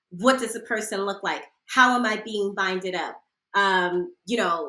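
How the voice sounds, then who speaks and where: With an American accent, a woman speaks at a medium pitch. Her tone is animated, bright and sharp. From Philadelphia / South Jersey, US. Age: 40s. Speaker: sex educator. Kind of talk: podcast interview, casual chat.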